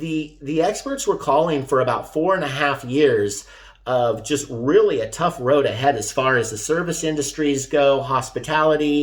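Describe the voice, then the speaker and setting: A man with a normal speaking voice, fairly high in pitch, at a moderate pace with ordinary pitch variation. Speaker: real estate agent. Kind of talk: market update video.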